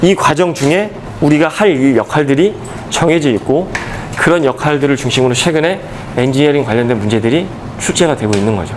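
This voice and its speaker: Over noticeable background noise and audible room echo, a man talks at a fairly quick pace in a fairly high pitch with lively intonation. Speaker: exam prep lecturer. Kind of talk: lecture. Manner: fast.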